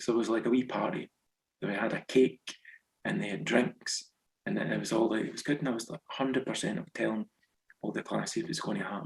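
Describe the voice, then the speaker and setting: Here a man talks at a very fast pace with vocal fry and very wide pitch swings around a medium pitch. The sound is dry and close with no echo. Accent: west central Scottish. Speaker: author, former teacher in Japan. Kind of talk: interview.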